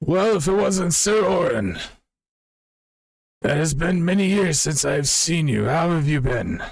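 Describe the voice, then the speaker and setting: A raspy, put-on character voice, fairly slow, with long, frequent pauses. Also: man, high pitch for a man. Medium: actual play.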